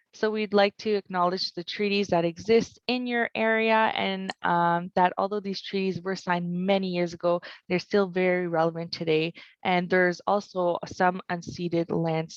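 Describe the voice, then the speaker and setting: A woman with a Franco-Ontarian accent speaks at a moderate pace with hardly any pauses, her pitch fairly low and her intonation fairly even. The sound is dry and close, with no echo. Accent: Franco-Ontarian Canadian English. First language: French. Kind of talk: webinar presentation.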